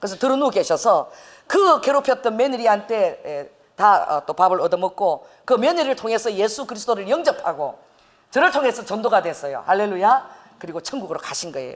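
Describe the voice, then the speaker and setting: Her loudness swinging widely, a woman speaks at a fairly quick pace in an animated tone, her fairly high pitch moving through very wide swings. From South Korea, Busan. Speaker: pastor. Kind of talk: sermon.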